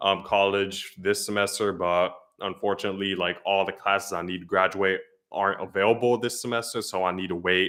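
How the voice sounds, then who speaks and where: With an American accent, a man speaks at a fairly quick pace in a bright, sharp tone, with fairly low pitch and fairly even intonation. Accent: noted by viewer. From US Northeast, northern New Jersey. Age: 20s. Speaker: weather youtuber, college student. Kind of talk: live stream Q&A. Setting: live stream. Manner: hesitant, filler-heavy.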